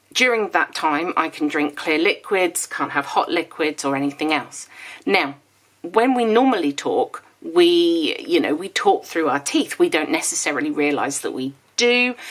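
A woman with a low pitch speaks at a fairly slow pace with few pauses. Her tone is fairly bright and her intonation lively.

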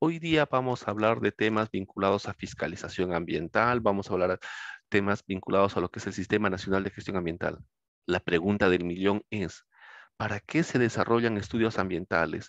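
Over a quiet background, a man with a fairly low pitch talks at a fairly quick pace with ordinary pitch variation, the sound dry with no echo. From Peru. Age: 50s. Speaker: law lecturer. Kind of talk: lecture. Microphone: headset.

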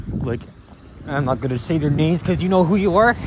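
Lively intonation in a dry sound with no echo, over noticeable background noise. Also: man. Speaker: vlogger. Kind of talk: vlog narration while walking. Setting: outdoors, walking in cold. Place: street. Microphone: phone near.

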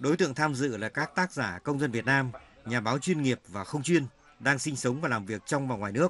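A plain, everyday voice from a man, medium in pitch, at a fairly quick pace with ordinary pitch variation. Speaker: news reporter. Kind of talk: scripted narration.

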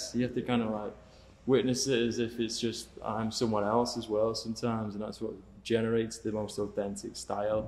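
Faint music plays behind a man who speaks at a fairly quick pace in a northern English accent, his intonation monotone and flat. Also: medium pitch for a man. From northern England (Cheshire); northern England. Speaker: painter; guest. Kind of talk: casual interview chat. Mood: relaxed, reflective. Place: studio. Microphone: studio mic.

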